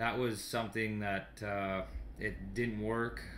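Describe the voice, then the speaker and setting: A man's fairly low voice with a Canadian accent over light background noise. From Sault Ste. Marie, Ontario, Canada. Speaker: junior hockey goalie and goalie instructor. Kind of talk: casual radio interview chat. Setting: radio studio. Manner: easygoing, laughing, jokey. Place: home room. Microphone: webcam.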